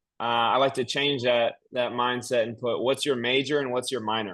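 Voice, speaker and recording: A man talks at a fairly quick pace with a medium pitch. He has a slight Southern US accent. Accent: slight Southern twang. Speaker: real estate investor at networking meetup. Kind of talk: casual networking chat.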